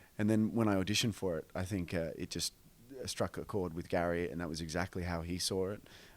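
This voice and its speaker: Speaking very fast with an Australian accent, a man with a very deep, low pitch keeps his intonation fairly even. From Australia, northern beaches of Sydney. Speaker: film actor. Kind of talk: radio interview. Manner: halting, many fillers and repeats.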